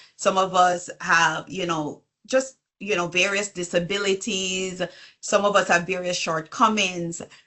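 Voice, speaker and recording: With a Jamaican accent, a woman talks at a fairly slow pace. Her medium pitch holds fairly even intonation. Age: 40s. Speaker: business coach and consultant. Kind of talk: interview conversation.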